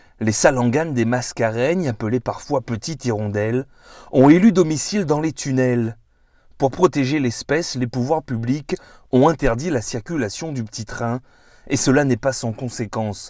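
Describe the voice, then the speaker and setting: With an ordinary speaking voice, a man talks at a medium pitch and a fairly slow pace with lively intonation on a very clean recording with a silent background. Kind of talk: documentary narration.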